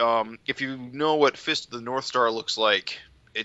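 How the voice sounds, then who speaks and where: With a plain, everyday voice, this man talks at a mid-range pitch that rises and falls in a normal way. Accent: American. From upstate New York. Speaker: podcast host. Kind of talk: casual chat.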